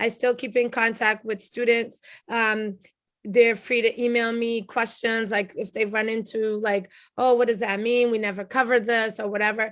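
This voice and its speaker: Against a quiet background, a woman speaks at a moderate pace. Her fairly high voice stays monotone and flat. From Cape Verdean diaspora, first generation born. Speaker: language instructor. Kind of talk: video call Q&A. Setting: video call.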